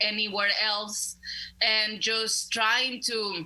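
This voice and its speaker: Noticeable background noise runs through the clip. A woman with a Spanish accent speaks at a very slow pace. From Mexico (León, Guanajuato). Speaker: community organizer. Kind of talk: interview. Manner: halting.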